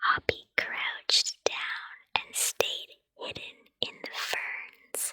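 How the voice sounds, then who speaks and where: Whispering at a very slow pace in a soothing tone. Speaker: ASMR puppet storyteller. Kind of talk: bedtime story book reading. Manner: whispered, soothing.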